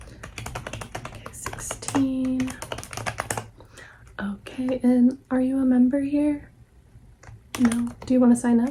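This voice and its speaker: The soft-spoken voice moves at a very slow pace with monotone, flat intonation and long, frequent pauses over noticeable background noise. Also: woman, high pitch for a woman. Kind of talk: ASMR librarian roleplay, book recommendations.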